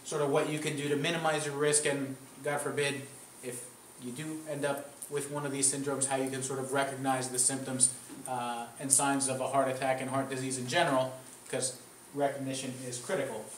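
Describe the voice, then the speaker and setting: The speech comes at a fairly quick pace in a monotone, flat intonation, with noticeable background noise and audible room echo. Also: man. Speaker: cardiologist giving a public health talk. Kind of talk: lecture. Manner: loud. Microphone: speaking without the microphone.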